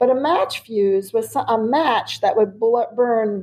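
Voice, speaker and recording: Her pitch is fairly high. The woman speaks at a very slow pace. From US, raised in German-speaking immigrant community. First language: German. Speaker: children's author. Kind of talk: interview.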